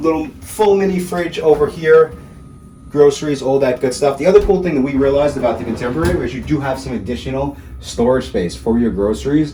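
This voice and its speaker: Noticeable background noise surrounds a man talking at a fairly quick pace. His voice is fairly high and his intonation lively. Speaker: travel vlogger. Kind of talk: video walkthrough review. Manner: fast; enthusiastic.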